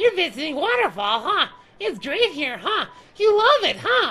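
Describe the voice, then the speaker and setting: A woman puts on a character voice at an extremely high pitch, with very wide pitch swings and a moderate pace. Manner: exaggerated, cutesy anime voice.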